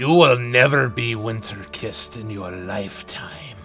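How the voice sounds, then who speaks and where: A man's raspy, medium-pitched put-on character voice, with faint music in the background. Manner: stern, judgmental.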